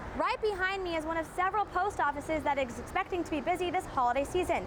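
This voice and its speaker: In an American accent, a woman with an extremely high pitch talks at a very fast pace with lively intonation over noticeable background noise. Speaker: television reporter and anchor. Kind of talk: broadcast news reporting.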